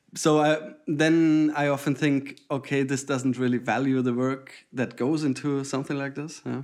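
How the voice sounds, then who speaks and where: A man with a German accent talks at a moderate pace with hardly any pauses, his fairly high voice monotone and flat. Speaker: podcast co-host, data visualization designer. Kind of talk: casual chat.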